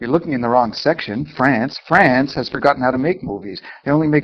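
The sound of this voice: Reading done in an unforced voice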